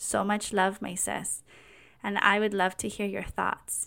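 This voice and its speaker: The recording is very clean, and the background is silent. A woman talks at a medium pitch. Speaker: podcast host. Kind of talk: personal testimony monologue.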